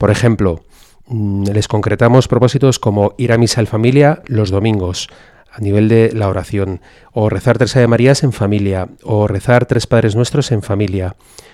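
A man's fairly low, dark, mellow voice at a moderate pace, with fairly even intonation. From Spain, Madrid. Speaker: priest and school chaplain. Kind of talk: radio interview.

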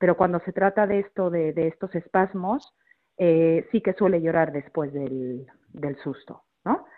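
Her pitch is fairly low and varies in an ordinary way. The woman talks at a fairly slow pace. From Mexico. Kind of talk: radio interview.

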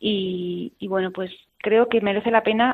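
Hers is an unremarkable speaking voice. The woman talks at medium pitch and a moderate pace. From Spain, Burgos province. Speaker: consecrated religious woman. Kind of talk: radio interview testimony.

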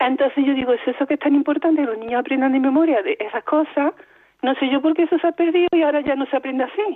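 A woman's high voice at a very fast pace, with very even loudness and ordinary pitch variation. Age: 60s. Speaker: radio caller. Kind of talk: phone-in question. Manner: halting, repeating words.

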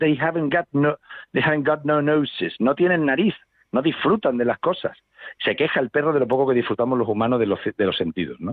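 Lively intonation marks a man's fairly high-pitched voice, which moves at a fairly quick pace with very even loudness. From Seville, Spain. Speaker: poet and musician. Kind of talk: radio interview. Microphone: distorted phone line.

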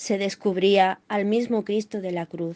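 Over a quiet background, a woman talks at a very slow pace and a medium pitch with fairly even intonation, the sound dry and close with no echo. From Málaga, Andalusia. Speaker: doctor. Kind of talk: scripted reading.

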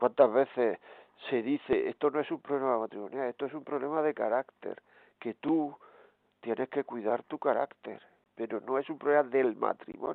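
A man's unremarkable speaking voice, medium in pitch, with fairly even intonation and a moderate pace. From Granada, Spain. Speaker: radio host and priest.

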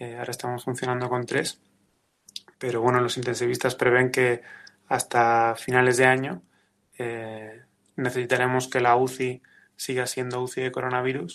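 This man talks at a medium pitch and a moderate pace. His intonation is monotone and flat. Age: 30s. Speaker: ICU nurse. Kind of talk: testimony.

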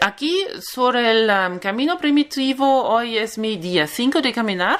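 A woman's voice with a German accent and very wide pitch swings. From Germany. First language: German (speaking Spanish). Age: 30s. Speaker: pilgrim. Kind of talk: interview. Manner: halting.

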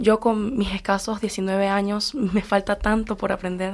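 The voice belongs to a woman with a medium pitch. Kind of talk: faith sharing on live radio.

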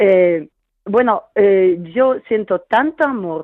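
With a Polish accent, the speaker talks at a very slow pace using lively intonation. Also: woman. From Poland. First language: Polish (speaking Spanish). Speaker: caller. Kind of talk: testimony.

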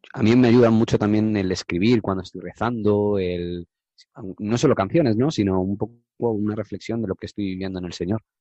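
A man talks at a fairly quick pace in a fairly low voice with a dark, mellow tone. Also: ordinary pitch variation. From Madrid region, Spain. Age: 20s. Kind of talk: testimony. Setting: radio studio. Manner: halting, with repetitions.

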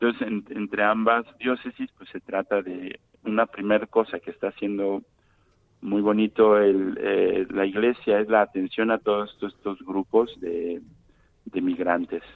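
Fairly low in pitch, a man with a Mexican accent speaks at a fairly slow pace in a monotone, flat delivery with big swings in loudness. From Mexico, Guadalajara. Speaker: Franciscan friar and parish priest. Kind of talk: interview. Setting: phone call. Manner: halting.

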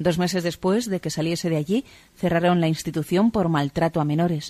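With a dark, mellow tone, a woman speaks fairly quickly at a fairly low pitch with ordinary pitch variation, the sound dry and close with no echo. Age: 40s. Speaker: convert giving testimony. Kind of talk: testimony.

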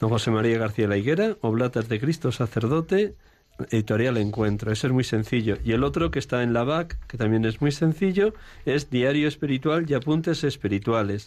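A man's ordinary speaking voice at medium pitch, fairly quick in pace, with lively intonation and very even loudness. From Spain, Segovia. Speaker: priest, confessor. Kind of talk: radio interview.

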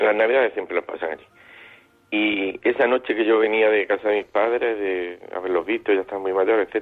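This man talks at a fairly quick pace with a fairly low pitch and fairly even intonation. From Granada, Spain. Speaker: radio caller. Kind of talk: personal story on phone-in. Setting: phone call. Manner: halting.

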